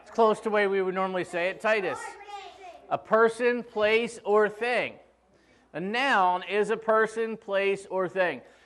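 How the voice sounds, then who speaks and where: A high-pitched man at a fairly slow pace, fairly even in intonation but with big swings in loudness. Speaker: pastor. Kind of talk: sermon. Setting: church. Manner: casual, joking.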